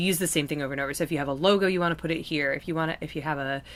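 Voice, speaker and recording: Her voice is very deep and low in pitch, with a bright, sharp tone and fairly even intonation. The recording is very clean, with a silent background. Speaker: video editing tutor and live streamer. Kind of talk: live-stream tutorial. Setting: live stream. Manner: casual, many fillers.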